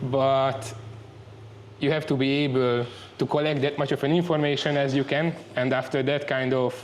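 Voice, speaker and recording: With long, frequent pauses, a man speaks in a fairly high, flat monotone at a very even loudness. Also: moderate pace. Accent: Hungarian. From Hungary. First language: Hungarian. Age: 30s. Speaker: muay thai trainee. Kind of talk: interview. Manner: halting.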